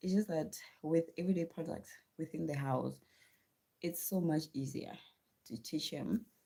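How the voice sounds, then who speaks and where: A woman with a South African accent, a fairly low pitch, a dark, mellow tone and vocal fry, at a moderate pace with ordinary pitch variation and long, frequent pauses. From South Africa, Venda region. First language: Tshivenda. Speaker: livestreamer and homeschooling mother. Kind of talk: casual live stream chat.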